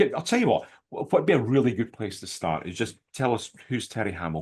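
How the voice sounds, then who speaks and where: Against a quiet background, a man with a Scottish accent and medium pitch speaks at a very fast pace. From Scotland. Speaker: podcast host. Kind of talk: interview.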